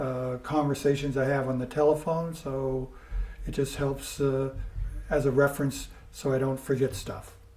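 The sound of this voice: A man's medium-pitched voice at a fairly slow pace, with audible room echo. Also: slightly mellow tone.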